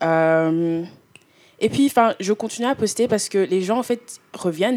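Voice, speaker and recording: Delivered at a moderate pace, the voice carries a dark, mellow tone. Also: woman. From Belgium (Brussels), also lived in Canada and Congo. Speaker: student vlogger. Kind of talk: casual chat.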